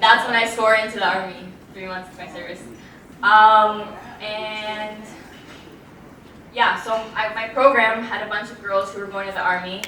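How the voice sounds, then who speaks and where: A woman with a fairly high pitch speaks at a moderate pace in a flat monotone, her loudness swinging widely and her speech broken by long, frequent pauses. Audible room echo and noticeable background noise fill the recording. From Israel. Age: 20s. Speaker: former soldier. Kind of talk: interview.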